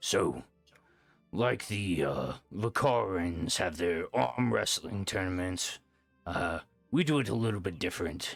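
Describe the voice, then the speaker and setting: A man's raspy, put-on character voice at a very deep, low pitch, fairly slow with long, frequent pauses, over faint music in the background. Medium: actual play. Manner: hearty, booming.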